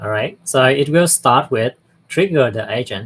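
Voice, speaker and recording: The voice belongs to a man. It has a medium pitch. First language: not English. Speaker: software platform presenter. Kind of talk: live tutorial. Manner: halting.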